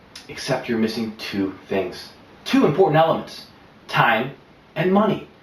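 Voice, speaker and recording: Noticeable background noise sits behind a man of medium pitch speaking at a moderate pace. His tone is confident, with very wide pitch swings. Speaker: professional presenter and pitchman. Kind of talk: promotional pitch to camera. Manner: confident, polished, persuasive.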